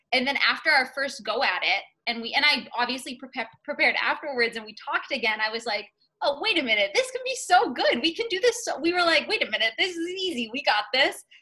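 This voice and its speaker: In an American accent, a woman talks at a very fast pace in a high, raised, projected voice with very wide pitch swings. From Massachusetts North Shore. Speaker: law student negotiation competitor. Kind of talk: interview.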